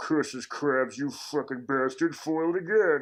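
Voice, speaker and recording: Man's put-on character voice, fairly high in pitch, at a moderate pace with light background noise. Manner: scheming, frustrated.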